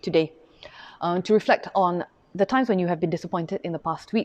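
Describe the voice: At a fairly quick pace, a woman speaks at a medium pitch with a slightly mellow tone and ordinary pitch variation.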